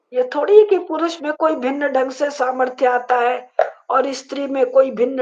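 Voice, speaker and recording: The speaker is a woman. Her voice is high-pitched. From rural north India, Varanasi. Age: 70s. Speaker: professor and author on dharma. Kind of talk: interview discussion.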